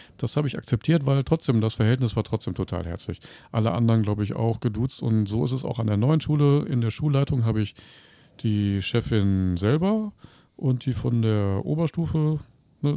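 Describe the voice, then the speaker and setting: On a very clean recording with a silent background, a man with a dark, mellow tone speaks at a moderate pace and medium pitch with lively intonation. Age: 50s. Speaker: teacher. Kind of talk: casual interview.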